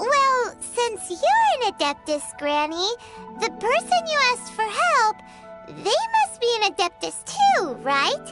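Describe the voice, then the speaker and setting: A squeaky, cartoonish character voice at an extremely high pitch moves at a fairly slow pace with very wide pitch swings over loud music in the background. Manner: eager, chatty.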